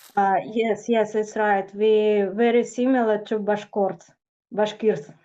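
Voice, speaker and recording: A woman with a Tatarstan accent, fairly high pitch and a dark, mellow tone, very slow pace, very even loudness and monotone, flat intonation. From Tatarstan, Russia. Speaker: blogger. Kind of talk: casual interview. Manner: halting, hesitant.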